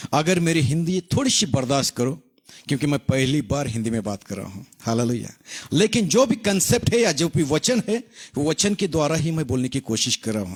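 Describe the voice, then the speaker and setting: Somewhat breathy speech at a moderate pace with very wide pitch swings, in a dry, close sound with no echo. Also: man, fairly high pitch for a man. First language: Marathi (speaking Hindi). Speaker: pastor. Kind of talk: sermon. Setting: online live broadcast. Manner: halting.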